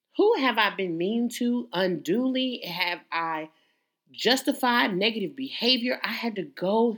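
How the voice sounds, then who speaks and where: A woman with lively intonation. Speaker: podcast host. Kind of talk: solo motivational monologue. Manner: loud.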